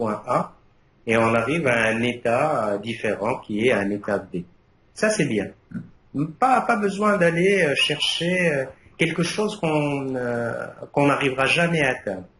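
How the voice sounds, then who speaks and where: A man with a non-native accent speaks at a fairly high pitch, his pitch swinging very widely. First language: Arabic (speaking French). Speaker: university lecturer, thesis jury member. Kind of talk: thesis defense jury feedback. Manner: hesitant, many fillers and repetitions.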